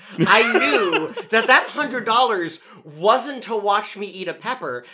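Fairly slow delivery over noticeable background noise. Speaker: cast member. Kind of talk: casual group chat.

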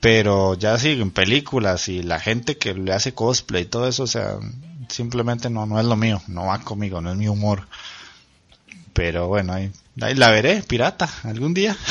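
A man's fairly low-pitched voice, a normal speaking voice, at a moderate pace with ordinary pitch variation. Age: 30s. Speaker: podcast host. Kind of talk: casual chat.

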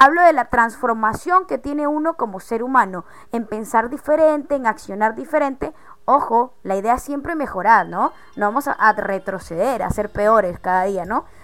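A woman's normal speaking voice, fairly high in pitch, at a moderate pace with lively intonation. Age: 20s. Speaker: podcast host. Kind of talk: casual chat.

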